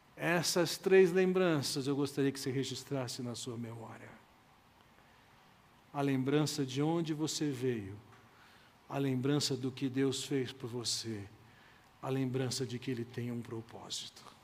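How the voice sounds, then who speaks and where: A man speaks fairly slowly at a medium pitch. He leaves long, frequent pauses, and the room echo is audible. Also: ordinary pitch variation. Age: 60s. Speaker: pastor. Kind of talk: sermon.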